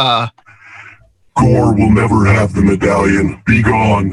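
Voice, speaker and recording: A man puts on a character voice, pitched fairly low and delivered at a very slow pace. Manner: ominous, menacing.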